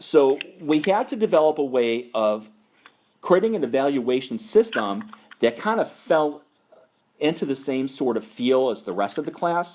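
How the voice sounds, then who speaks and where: With an American accent, a man speaks at a fairly high pitch with very wide pitch swings. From New York. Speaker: naturalist course instructor. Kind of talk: conference call mentoring talk. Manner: slower and louder.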